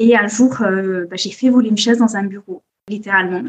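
Moderate pace from a woman, somewhat breathy, medium in pitch, with fairly even intonation. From Corsica. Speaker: copywriting agency founder. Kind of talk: podcast interview. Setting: at family home in Corsica.

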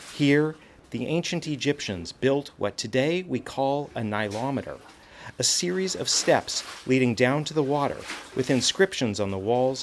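With lively intonation, a man of medium pitch speaks at a moderate pace with an American accent. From California suburbs, US. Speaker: senior producer, field reporter. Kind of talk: scripted narration. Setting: on location at an Egyptian temple.

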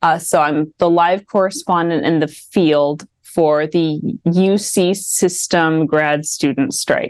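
A woman with a slight Midwestern accent speaks at a very slow pace. Her fairly low voice holds a very even loudness. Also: fairly even intonation. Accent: slight Midwest. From Washington DC. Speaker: PhD student and political commentator. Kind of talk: casual political chat. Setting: video call.

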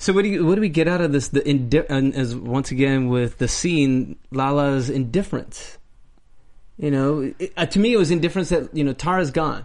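A plain, everyday voice from a man, fairly high in pitch, with ordinary pitch variation and very even loudness. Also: moderate pace. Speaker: after-show host. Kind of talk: casual after-show chat.

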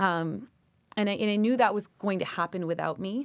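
A woman's normal speaking voice at a fairly quick pace, ordinary pitch variation, on a very clean recording with a silent background. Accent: Canadian. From Canada, Toronto. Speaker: lawyer and professor. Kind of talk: interview.

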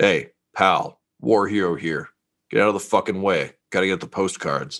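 Doing a put-on character voice, a man sounds gruff at a fairly low pitch, speaking at a moderate pace with ordinary pitch variation. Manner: brusque, demanding.

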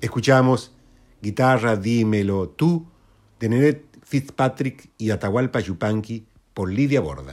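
This man speaks very slowly. His intonation is lively. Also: medium pitch for a man. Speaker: radio host. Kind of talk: radio presentation.

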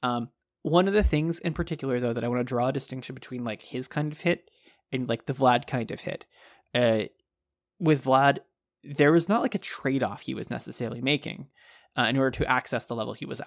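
An unremarkable speaking voice with an American accent, fairly quick and with ordinary pitch variation, in a very clean recording with a silent background and a dry, close sound with no echo. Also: man, medium pitch for a man. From Texas. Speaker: baseball podcast co-host. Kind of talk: casual chat.

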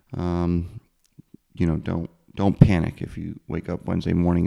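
A man with an American accent speaks at a moderate pace in a very deep, low voice with a dark, mellow tone. The sound is dry and close, with no echo. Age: 30s. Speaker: podcast host. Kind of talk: casual interview.

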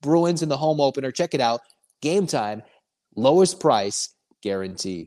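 A man with a fairly high pitch speaks in an animated tone, his pitch swinging very widely. He leaves long, frequent pauses, and the recording is very clean with a silent background. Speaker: sports podcast host. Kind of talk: sports podcast monologue with ad reads; pitchman ad read, promo spiel. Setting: studio, also on YouTube. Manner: fast, pushy, salesy, repeating the promo code; animated, conversational.

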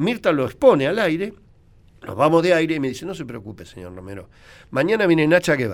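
A man's fairly high voice with vocal fry, very wide pitch swings, big swings in loudness and a very fast pace, in a very clean recording with a silent background. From Argentina, Buenos Aires. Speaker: veterinarian and radio commentator. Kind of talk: radio interview, storytelling.

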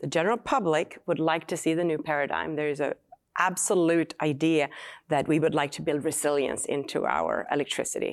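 A woman's very deep, low voice with a Swedish accent, a fairly quick pace and ordinary pitch variation. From Sweden. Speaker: battery company founder and chemist. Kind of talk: live interview. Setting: stage with audience.

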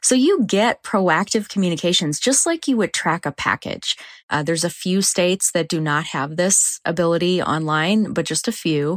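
With a normal speaking voice, a woman talks at a moderate pace and fairly low pitch, with ordinary pitch variation, very even loudness, hardly any pauses, and a dry, close sound with no echo. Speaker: voting nonprofit representative. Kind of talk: interview.

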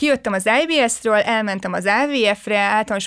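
A woman speaks in an energetic tone. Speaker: podcast host. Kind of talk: casual chat.

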